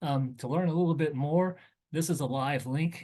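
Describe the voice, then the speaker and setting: An ordinary speaking voice from a man, with ordinary pitch variation and a moderate pace, over a quiet background. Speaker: government agency presenter. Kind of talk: webinar briefing presentation.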